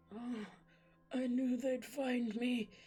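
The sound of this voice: In a put-on character voice, a female-sounding speaker uses a high, wheezy pitch.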